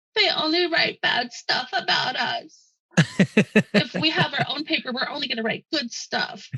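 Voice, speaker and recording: A put-on character voice, high in pitch and whiny in tone, sounding whiny throughout. It moves at a moderate pace with hardly any pauses. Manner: whiny, imitating.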